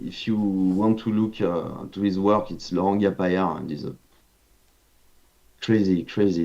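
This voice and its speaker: A man speaks with a French accent at a fairly low pitch. His tone is dark and mellow, with ordinary pitch variation. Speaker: video game concept artist. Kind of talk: casual interview chat. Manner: halting, many hesitations.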